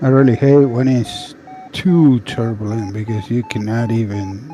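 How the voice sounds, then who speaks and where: At a fairly slow pace and medium pitch, a man talks with ordinary pitch variation over noticeable background noise. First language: Spanish. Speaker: trucking business owner. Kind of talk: casual chat.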